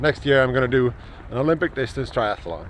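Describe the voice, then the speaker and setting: A man's voice over noticeable background noise. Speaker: fitness vlogger. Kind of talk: casual vlog monologue. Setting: outdoors.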